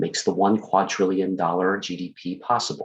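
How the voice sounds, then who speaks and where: Against a quiet background, a soft-spoken man talks at a moderate pace with a fairly low pitch. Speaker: project coordinator presenting. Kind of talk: recorded presentation. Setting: at home, Zoom room recording. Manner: soft-spoken, keeping voice low.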